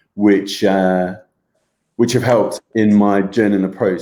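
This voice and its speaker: Very deep and low, the man's voice has a dark, mellow tone and a monotone, flat intonation. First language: German. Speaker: health group co-host. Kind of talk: casual chat, live stream. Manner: hesitant, many fillers.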